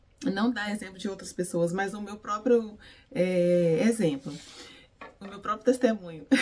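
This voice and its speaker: Against noticeable background noise, a woman of medium pitch speaks at a fairly slow pace with long, frequent pauses, big swings in loudness and ordinary pitch variation. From Brazil, Minas Gerais. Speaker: beautician and faith vlogger. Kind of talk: devotional vlog talk. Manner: animated, energetic.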